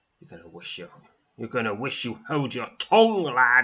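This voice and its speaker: Using a put-on, growling character voice, a man speaks fairly slowly at a medium pitch with lively intonation. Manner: menacing, snarling.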